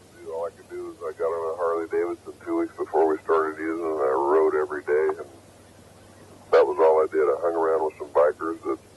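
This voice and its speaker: Very fast pace with big swings in loudness over noticeable background noise. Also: man. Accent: American. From United States. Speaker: actor. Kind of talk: interview answer.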